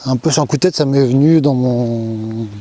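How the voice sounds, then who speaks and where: Fairly slow delivery with fairly even intonation over noticeable background noise. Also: man. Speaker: YouTuber sharing personal experience. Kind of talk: casual vlog monologue. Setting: outdoors at night. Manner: soft-spoken; hesitant, many fillers.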